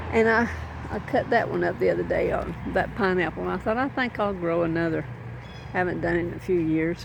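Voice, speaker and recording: A woman talks at a moderate pace, and audible room echo surrounds her voice. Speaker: gardening vlogger. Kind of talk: casual vlog. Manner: rambling, casual with fillers.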